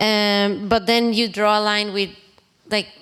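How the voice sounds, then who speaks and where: With a non-native accent, a woman speaks at a medium pitch and a fairly slow pace. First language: not English. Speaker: audience member asking a question. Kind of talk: audience Q&A question. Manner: halting, many fillers.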